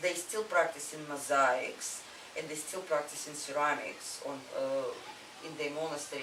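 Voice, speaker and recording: Over noticeable background noise, a woman with a Russian accent speaks at a fairly slow pace, her very deep, low voice keeping a fairly even intonation. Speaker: artist. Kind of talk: interview answer.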